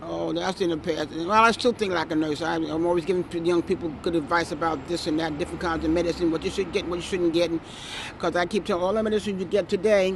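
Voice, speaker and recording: Over noticeable background noise, a woman with an American accent speaks at a very fast pace in a fairly low voice with fairly even intonation. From New York City, Brooklyn. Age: 70s. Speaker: retired nurse, neighborhood local. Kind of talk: casual street interview. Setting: outdoors on a city street stoop. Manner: halting, repeats words.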